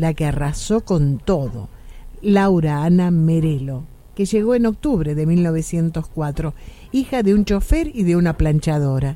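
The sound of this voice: A dark, mellow tone carries lively intonation at a moderate pace. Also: woman, low pitch for a woman.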